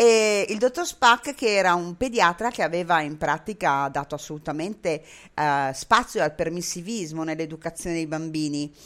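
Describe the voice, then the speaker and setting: Lively in intonation, a woman speaks at a moderate pace with a fairly low pitch. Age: 60s. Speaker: web radio host. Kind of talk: casual interview. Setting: Skype call with headphones.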